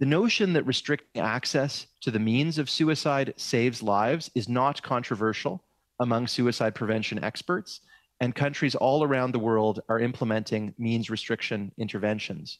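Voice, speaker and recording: At a moderate pace, a man talks with very even loudness and ordinary pitch variation. The sound is dry with no echo, against a quiet background. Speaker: witness. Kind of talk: prepared testimony statement. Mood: serious, measured. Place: office. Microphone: headset.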